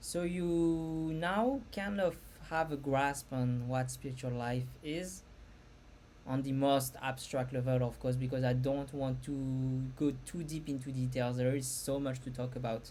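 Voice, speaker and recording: A dark, mellow tone with a non-native accent, fairly even intonation, a fairly slow pace and audible room echo. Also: woman, very deep, low pitch for a woman. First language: not English. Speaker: spiritual content creator. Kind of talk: casual talk to camera. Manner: halting.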